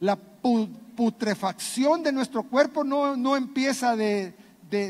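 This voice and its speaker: With lively intonation, a man talks at a fairly slow pace. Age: 60s. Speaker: pastor. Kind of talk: sermon.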